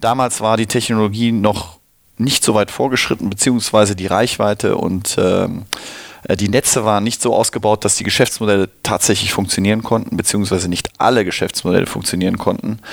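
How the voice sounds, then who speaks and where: A man with a fairly low pitch against noticeable background noise. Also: fairly even intonation, fairly quick pace. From Cologne, Germany. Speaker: venture capital investor. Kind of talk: interview. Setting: studio.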